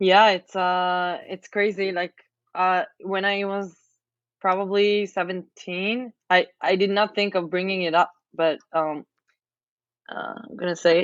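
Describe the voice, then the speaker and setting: Here is a normal speaking voice at a fairly slow pace. The intonation is fairly even. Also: woman, medium pitch for a woman. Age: 20s. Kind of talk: casual chat.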